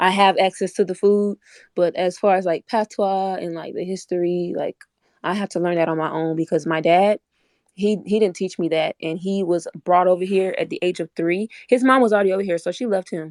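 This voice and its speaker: In a dry, close sound with no echo, a woman with an American accent talks fairly quickly at a medium pitch, in a normal speaking voice with fairly even intonation. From Orlando, Florida, US. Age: 20s. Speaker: online debate participant. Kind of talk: casual discussion. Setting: online audio room.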